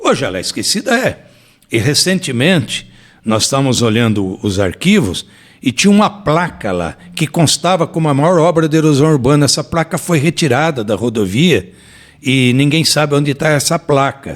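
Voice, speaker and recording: In a very clean recording with a silent background, a man with vocal fry speaks at a moderate pace, his fairly high pitch making very wide swings. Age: 60s. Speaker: former mayor. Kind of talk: interview.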